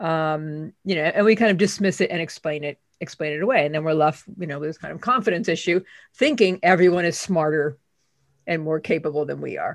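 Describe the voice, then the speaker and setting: A woman with an ordinary speaking voice talks at a fairly quick pace, with a fairly low pitch and ordinary pitch variation. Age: 60s. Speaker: author and imposter syndrome expert. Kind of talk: interview conversation.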